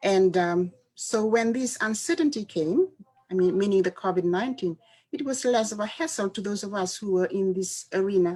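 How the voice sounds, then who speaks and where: A soft-spoken voice at a moderate pace, with ordinary pitch variation. Music plays in the background. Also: woman. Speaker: university educator. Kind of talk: panel discussion. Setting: live online video panel.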